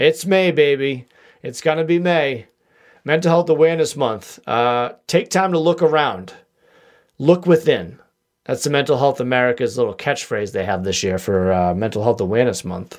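A man speaks in a Boston accent at a moderate pace and a fairly high pitch. His pitch swings very widely. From US Northeast, Boston area. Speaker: podcast host. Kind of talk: casual solo podcast monologue. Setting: home studio with microphone. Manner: jokey, rambling.

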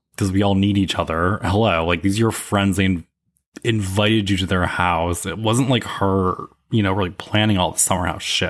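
On a very clean recording with a silent background, a man speaks at a fairly low pitch and moderate pace. He has an unremarkable speaking voice and fairly even intonation. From upstate New York. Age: 30s. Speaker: podcaster. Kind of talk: casual chat.

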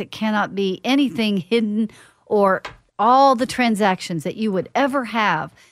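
In an ordinary speaking voice with ordinary pitch variation, the speech goes at a fairly slow pace on a very clean recording with a silent background. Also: woman. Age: 50s. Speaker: financial planner and radio host. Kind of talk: radio show monologue, educational. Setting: radio studio.

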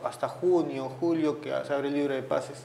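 A man speaks at a moderate pace with fairly even intonation, amid noticeable background noise and audible room echo. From Peru, Lima (Surco). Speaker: retired footballer. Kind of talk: interview. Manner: halting.

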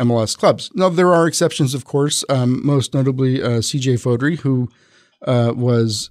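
A man talks at a moderate pace with medium pitch and an ordinary speaking voice. The sound is dry and close, with no echo. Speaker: reporter and soccer podcaster. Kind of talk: casual chat. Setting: studio.

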